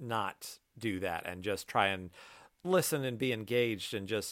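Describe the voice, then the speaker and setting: A normal speaking voice with ordinary pitch variation, on a very clean recording with a silent background. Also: man. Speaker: podcast host. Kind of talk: casual chat.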